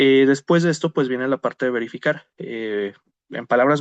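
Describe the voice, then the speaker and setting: The delivery is fairly quick, with ordinary pitch variation. The sound is dry and close, with no echo. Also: man. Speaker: criminologist, conference speaker. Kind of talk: lecture. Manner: fast; hesitant fillers (eh).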